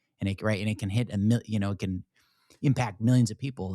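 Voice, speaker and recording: A man speaks with an American accent and an unremarkable speaking voice. His intonation is fairly even, and the sound is dry and close with no echo. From US, Shenandoah Valley, Virginia. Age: 30s. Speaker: podcast host, military veteran. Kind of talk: interview; show outro.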